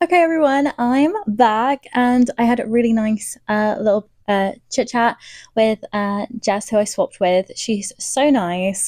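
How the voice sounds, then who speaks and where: A woman at fairly high pitch with a British accent, fairly slow pace and ordinary pitch variation, in a dry, close sound with no echo. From Britain. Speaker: book vlogger. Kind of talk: casual vlog.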